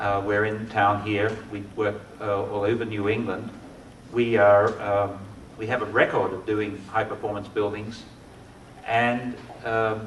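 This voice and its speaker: A man with an Australian accent speaks slowly in a fairly low, monotone, flat voice, with long, frequent pauses. Music plays in the background and the room echo is audible. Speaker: architect. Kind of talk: lecture. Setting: lecture hall with audience.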